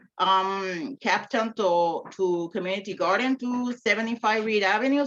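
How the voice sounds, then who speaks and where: In a Spanish accent, a woman talks at a moderate pace with ordinary pitch variation. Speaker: community garden captain. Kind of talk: self-introduction.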